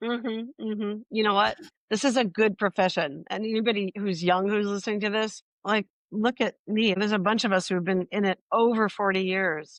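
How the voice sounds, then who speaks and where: A woman at medium pitch and a moderate pace. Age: 60s. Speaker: acupuncturist and herbal educator. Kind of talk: interview conversation. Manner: animated.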